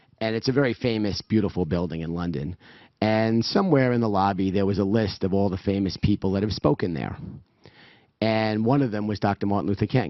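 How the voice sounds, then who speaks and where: A man with a New York accent, fairly low in pitch, at a fairly quick pace with ordinary pitch variation. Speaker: event organizer giving opening remarks. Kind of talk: welcome speech.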